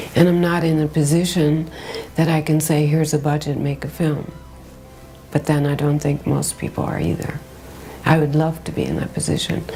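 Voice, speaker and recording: With music in the background, a woman speaks at a very deep, low pitch in a monotone, flat intonation. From United States. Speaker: fashion journalist and film festival founder. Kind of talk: interview answer.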